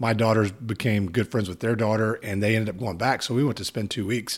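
Someone with a Texan accent speaks in a very clean recording with a silent background. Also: man. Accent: Texan American English. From Texas. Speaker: podcast host. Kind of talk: casual interview. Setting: in-person conversation.

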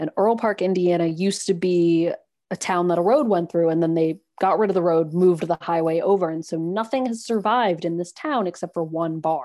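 A woman with an American accent speaks at a fairly quick pace, her fairly low pitch carrying a dark, mellow tone. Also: ordinary pitch variation, quiet background. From New York City, Manhattan. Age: 30s. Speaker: podcast guest, former full-time RV traveler. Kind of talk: casual interview chat.

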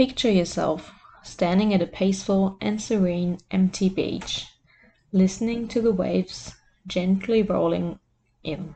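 A woman's somewhat breathy, dark and mellow voice at medium pitch, fairly slow and fairly even in intonation. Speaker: life coach. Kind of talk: guided meditation. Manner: slow, soothing, soft-spoken.

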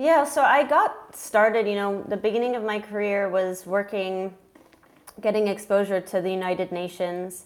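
Her pitch sits at a medium level, and this woman varies it in an ordinary way. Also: moderate pace. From US Midwest, Minnesota. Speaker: nonprofit director and author. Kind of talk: interview. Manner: halting.

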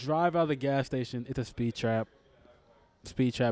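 Fairly quick in pace, this is an ordinary speaking voice with ordinary pitch variation and a dry, close sound with no echo. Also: man. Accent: American. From Texas, Houston. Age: 20s. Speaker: comedian. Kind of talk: casual chat. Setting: pub.

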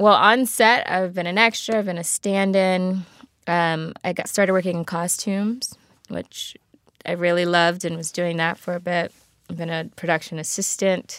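In an American accent, a woman with an unremarkable speaking voice talks at a moderate pace with a fairly low pitch and fairly even intonation, on a very clean recording with a silent background. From Baltimore, US. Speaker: actress. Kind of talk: casual interview chat. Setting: small studio.

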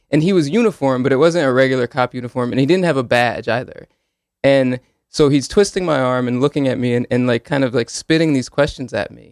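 A man talks at a very fast pace with medium pitch and ordinary pitch variation. The sound is dry and close, with no echo. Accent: Northeastern US. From Connecticut (Hamden, Woodbridge). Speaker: law student and police accountability advocate. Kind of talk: radio interview. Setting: radio studio.

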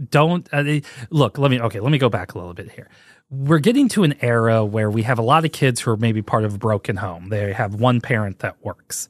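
A man with an American accent and an ordinary speaking voice, medium in pitch with ordinary pitch variation, at a fairly quick pace, in a dry, close sound with no echo and a quiet background. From US Midwest, St. Louis, Missouri. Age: 40s. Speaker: podcast host. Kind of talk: casual solo podcast monologue.

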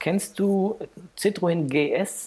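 The voice belongs to a man. Its pitch moves in an ordinary way. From Heidelberg area, Germany. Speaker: nude photographer. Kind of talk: casual interview chat. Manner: halting, many fillers.

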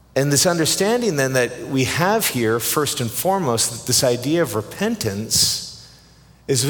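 Speaking with a Canadian accent, a man uses a medium pitch with very wide pitch swings at a moderate pace. Audible room echo and noticeable background noise are present. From Canada. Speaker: pastor. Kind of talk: sermon.

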